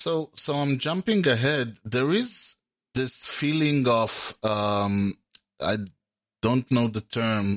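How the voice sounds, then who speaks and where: Someone with an Israeli accent is heard in a dry, close sound with no echo. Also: man. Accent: Hebrew-accented English. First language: Hebrew. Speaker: podcast host and interviewer. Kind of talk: interview. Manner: hesitant, with fillers.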